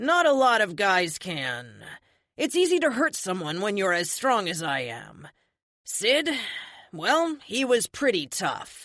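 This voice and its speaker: Growling in a put-on character voice, a woman swings her medium pitch very widely at a fairly slow pace. The recording is very clean, with a silent background. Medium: read story. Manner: snarling, blunt.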